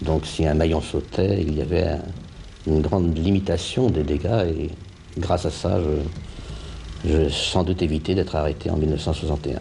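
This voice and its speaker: Noticeable background noise and audible room echo surround a man speaking in a very deep, low pitch. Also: ordinary pitch variation, moderate pace. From Paris region, France. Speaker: puppeteer, former activist. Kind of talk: interview testimony.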